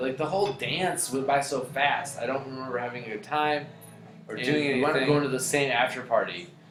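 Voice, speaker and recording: A man's fairly high voice at a very fast pace with fairly even intonation, music in the background. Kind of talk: story time. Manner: casual, profane.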